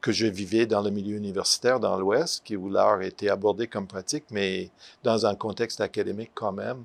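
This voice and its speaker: Fairly low pitch and fairly even intonation from a man with an English accent, at a moderate pace. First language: English (speaking French). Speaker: retired art professor. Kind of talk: interview. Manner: halting, many hesitations.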